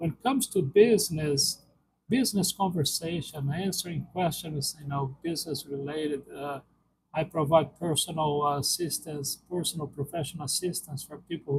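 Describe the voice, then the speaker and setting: Fairly quick and fairly high-pitched, a man speaks with a Brazilian accent. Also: big swings in loudness. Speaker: live streamer. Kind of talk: casual live-stream Q&A. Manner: halting, many fillers.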